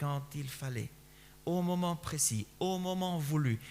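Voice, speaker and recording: A man talks at a very slow pace with lively intonation. His voice is fairly high and somewhat breathy. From Spain. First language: Spanish (speaking French). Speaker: pastor. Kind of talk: sermon.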